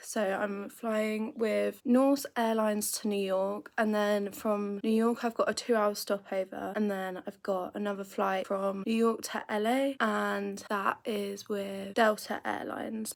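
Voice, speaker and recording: A woman speaks in a British accent at a fairly slow pace. Her intonation stays monotone and flat. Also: medium pitch for a woman, hardly any pauses. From United Kingdom. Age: 20s. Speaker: travel vlogger. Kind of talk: casual talk to camera.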